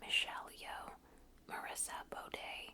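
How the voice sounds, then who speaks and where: Someone whispers in a gentle tone at a very slow pace against noticeable background noise. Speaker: ASMR content creator. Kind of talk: ASMR reading of an encyclopedia article. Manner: gentle whispers, soft-spoken.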